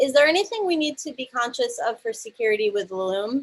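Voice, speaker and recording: This is a woman speaking. She talks with an American accent. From New York. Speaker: user group host. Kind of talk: moderating online Q&A. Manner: fast.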